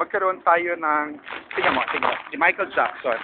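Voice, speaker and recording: A man is talking. The pitch of his voice is high. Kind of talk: casual vlog talk to camera.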